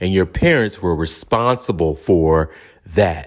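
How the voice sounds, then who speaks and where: Very deep, low speech from a man at a fairly slow speed. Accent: Charleston. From Charleston, South Carolina. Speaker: podcast host. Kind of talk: casual podcast talk.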